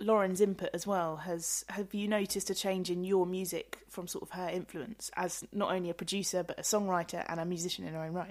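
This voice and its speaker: On a very clean recording with a silent background, a woman with a normal speaking voice talks fairly quickly at a medium pitch with ordinary pitch variation. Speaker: radio show host. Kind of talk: radio interview. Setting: radio studio.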